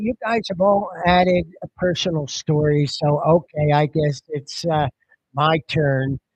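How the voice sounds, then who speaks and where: Speaking at a very slow pace, a man with a fairly high pitch and a somewhat breathy voice uses ordinary pitch variation in a dry, close sound with no echo. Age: 60s. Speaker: product presenter. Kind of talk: sales pitch.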